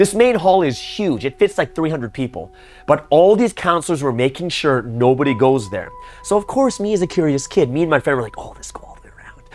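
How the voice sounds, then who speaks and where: Over music in the background, a man with a fairly high voice speaks at a fairly quick pace, with very wide pitch swings and big swings in loudness. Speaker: pastor. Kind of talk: storytelling. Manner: casual, filler-heavy.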